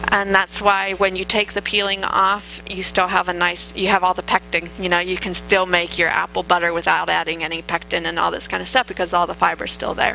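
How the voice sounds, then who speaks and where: Amid noticeable background noise, a woman talks at a fairly quick pace with hardly any pauses. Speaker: dietitian giving a health talk. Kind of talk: lecture. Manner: hesitant with fillers.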